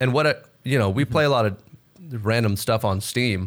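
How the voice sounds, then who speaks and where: With an American accent, a man speaks at a fairly quick pace with ordinary pitch variation. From Texas. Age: 20s. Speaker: gaming content creator. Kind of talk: casual chat.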